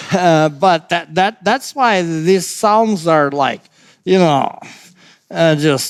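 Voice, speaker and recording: Speaking at a very slow pace with a non-native accent, a man keeps his loudness very even and his pitch high. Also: ordinary pitch variation. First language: not English. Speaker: pastor. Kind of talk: bible study discussion. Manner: halting, many fillers and restarts.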